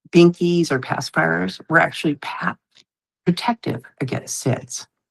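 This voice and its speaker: A woman's very deep, low voice with vocal fry, at a fairly slow pace, dry and close with no echo. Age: 60s. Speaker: legislative advisor and former nursing researcher. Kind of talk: podcast interview.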